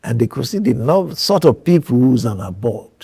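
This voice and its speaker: Lively intonation runs through this man's somewhat breathy, medium-pitched voice. He speaks at a moderate pace. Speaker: eye surgeon and hospital founder. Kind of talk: interview.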